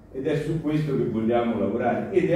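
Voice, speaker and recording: Strong echo of a room around a male voice, plus light background noise. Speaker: political activist; speaker. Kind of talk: panel discussion. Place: hall.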